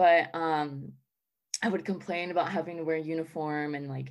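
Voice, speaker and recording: On a very clean recording with a silent background, a woman with an American accent talks at a moderate pace, her fairly low pitch showing ordinary variation. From Charlotte, North Carolina. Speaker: college student. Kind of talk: casual interview chat.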